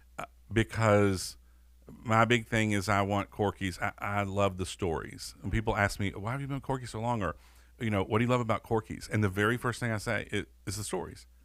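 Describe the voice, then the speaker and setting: On a very clean recording with a silent background, a man with a Southern US accent talks at a fairly quick pace, his pitch fairly low and his intonation fairly even. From US South. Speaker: podcast host and restaurant owner. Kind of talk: casual interview over a meal.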